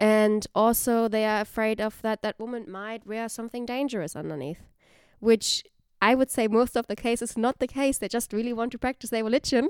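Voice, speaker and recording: A woman with a German accent talks fairly quickly in a fairly high voice with ordinary pitch variation. The recording is very clean with a silent background and a dry, close sound with no echo. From Germany. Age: 20s. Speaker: university staff. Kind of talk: casual chat.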